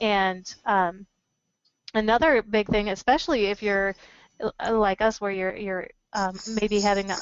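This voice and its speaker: At a moderate pace, a woman speaks at medium pitch with fairly even intonation. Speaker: business communication presenter. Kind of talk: webinar Q&A. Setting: webinar, standing. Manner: naturally loud.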